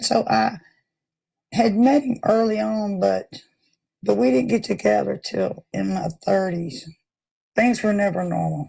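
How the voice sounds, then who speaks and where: With a Tennessee accent, a woman talks at a fairly slow pace. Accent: Southern US (Tennessee). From US South, Memphis, Tennessee. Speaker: recovering addict. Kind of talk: testimony.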